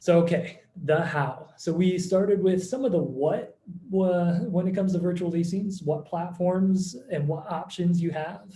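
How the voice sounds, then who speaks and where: Audible room echo follows speech delivered at a fairly slow pace with fairly even intonation. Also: man, high pitch for a man. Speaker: company founder presenting a webinar. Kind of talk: webinar presentation. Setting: online video call.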